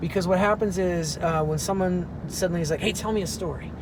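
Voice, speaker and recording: Amid noticeable background noise and audible room echo, a man talks at a fairly quick pace with a high pitch and fairly even intonation. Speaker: actor and professor. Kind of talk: casual chat. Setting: in a car.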